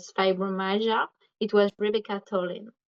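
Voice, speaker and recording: Speaking at a moderate pace, a woman keeps her medium-pitched voice monotone and flat. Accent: French. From France. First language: French. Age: 20s. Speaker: recovered patient. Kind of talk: interview. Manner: halting.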